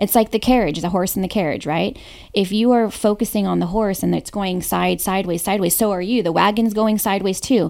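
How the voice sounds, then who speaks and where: A woman with a normal speaking voice talks at a fairly quick pace in a medium pitch with fairly even intonation, on a very clean recording with a silent background. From Hawaii and San Diego, US. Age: 30s. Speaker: real estate broker and team owner. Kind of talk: interview, personal storytelling.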